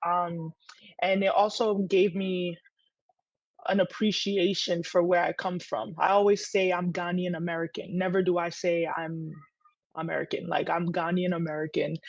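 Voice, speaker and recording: A woman with a fairly low pitch speaks at a moderate pace with fairly even intonation. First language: Twi. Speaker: entrepreneur. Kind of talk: interview.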